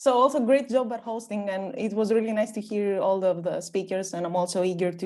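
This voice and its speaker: The speaker has a dark, mellow tone and lively intonation, moving at a fairly quick pace. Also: woman. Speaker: panel speaker, architecture researcher. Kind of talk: conference panel talk. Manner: halting, many fillers.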